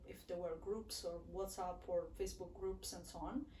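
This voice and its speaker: A woman with a Neapolitan accent speaks at a moderate pace, with audible room echo and noticeable background noise. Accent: Italian (Neapolitan) accent in English. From southern Italy, Naples. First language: Italian. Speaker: international student. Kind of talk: casual interview chat. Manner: halting, many fillers.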